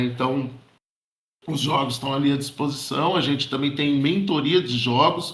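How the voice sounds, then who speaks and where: A man's voice with audible room echo. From interior of São Paulo state, Brazil. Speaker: board game shop owner and educator. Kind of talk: casual group chat. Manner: hesitant, many fillers and repetitions.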